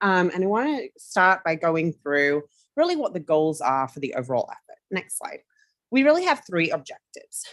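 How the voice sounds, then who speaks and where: Speaking at a moderate pace, a woman with a medium pitch makes very wide pitch swings and big swings in loudness. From United Kingdom. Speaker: marketing firm executive. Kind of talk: committee presentation.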